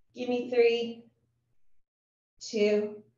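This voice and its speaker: A woman speaks at a very slow pace in a high voice, with audible room echo. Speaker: fitness instructor. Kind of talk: workout class instruction. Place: home room.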